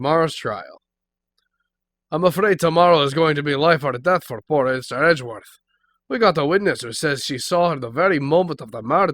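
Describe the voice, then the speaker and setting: A put-on, gruff character voice from a man in an Irish accent, fairly high in pitch with ordinary variation, at a fairly quick pace. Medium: actual play. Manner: gruff, says "pal" often.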